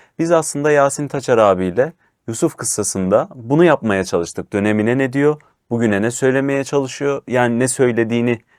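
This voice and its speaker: A man's a plain, everyday voice at medium pitch and moderate pace, on a very clean recording with a silent background. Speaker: show host. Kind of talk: religious discussion reading verses aloud.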